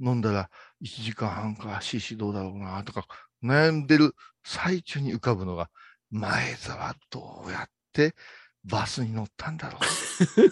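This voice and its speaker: A man speaks at a medium pitch and a fairly slow pace, with big swings in loudness. The sound is dry and close, with no echo. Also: lively intonation. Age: 50s. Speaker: Buddhist monk radio host. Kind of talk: casual chat. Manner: animated.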